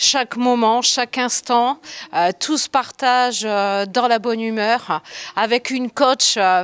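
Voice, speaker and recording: The delivery comes at a very slow pace, with a dry, close sound, no echo, and a very clean recording over a silent background. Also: woman. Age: 60s. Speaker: fitness class member. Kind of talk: interview.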